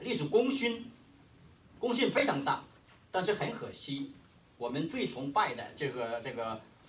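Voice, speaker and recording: In a Hainanese accent, a man talks at a moderate pace with very wide pitch swings, and the room echo is audible. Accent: Hainanese-accented Mandarin. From Hainan, China. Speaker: history professor. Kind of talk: conference keynote speech. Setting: conference hall with audience. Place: meeting room. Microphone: camera far.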